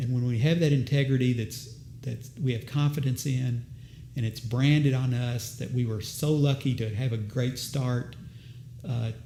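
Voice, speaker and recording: Room echo can be heard around this man. He keeps a medium tempo and a fairly level intonation. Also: medium pitch for a man. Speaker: business owner. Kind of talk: interview.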